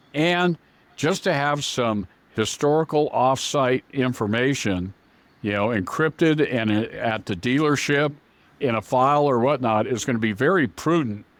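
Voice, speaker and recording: On a very clean recording with a silent background, a man with an unremarkable speaking voice talks at a moderate pace and medium pitch, his pitch varying in an ordinary way. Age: 60s. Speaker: auto parts software company founder. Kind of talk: interview. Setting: podcast.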